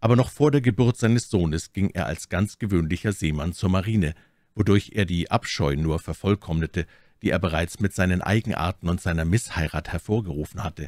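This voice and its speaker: A man's very deep, low voice with a solemn tone, at a moderate pace with ordinary pitch variation, the sound dry and close with no echo. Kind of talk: audiobook reading of a gothic horror story. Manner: measured, even storyteller pacing, solemn and formal.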